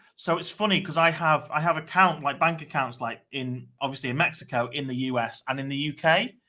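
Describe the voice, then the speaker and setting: A man with a British accent speaks at a fairly quick pace, his fairly high pitch carrying a bright, sharp tone. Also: ordinary pitch variation, hardly any pauses. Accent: British (noticeable). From England, Chester. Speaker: online marketer. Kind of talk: casual chat. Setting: live stream.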